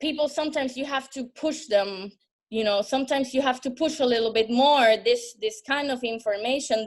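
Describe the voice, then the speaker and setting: At a moderate pace, a woman with a Spanish accent speaks in a high pitch with ordinary pitch variation. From Puerto Rico, San Juan. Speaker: bar manager. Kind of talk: panel discussion. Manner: halting, many fillers and repetitions.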